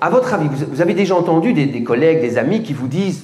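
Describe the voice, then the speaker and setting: With an animated tone and very wide pitch swings, the speaker moves at a fairly quick pace over noticeable background noise. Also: man. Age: 70s. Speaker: fitness coach. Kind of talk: lecture.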